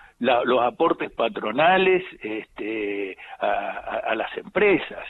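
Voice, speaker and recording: Very wide pitch swings mark this man's speech over noticeable background noise. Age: 70s. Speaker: politician. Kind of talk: live radio interview.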